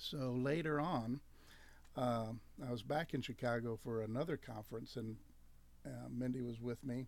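A man at a medium pitch, his intonation fairly even, with long, frequent pauses. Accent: slight Southern. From US Deep South (Louisiana). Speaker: campus ministry staff worker. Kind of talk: radio interview. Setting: radio studio.

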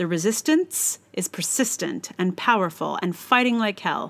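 A woman with an American accent speaks at a moderate pace with lively intonation in a plain, everyday voice. The recording is very clean, with a silent background. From United States. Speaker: blogger and podcaster. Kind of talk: reading aloud own blog post.

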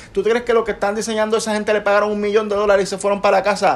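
A man speaks with a Puerto Rican accent and a high pitch. Noticeable noise sits in the background. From Puerto Rico. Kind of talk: casual chat.

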